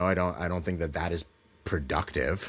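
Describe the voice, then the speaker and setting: Very deep, low-pitched male voice with ordinary pitch variation, at a fairly quick pace, on a very clean recording with a silent background. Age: 30s. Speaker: tech company executive and podcast co-host. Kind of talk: casual podcast conversation.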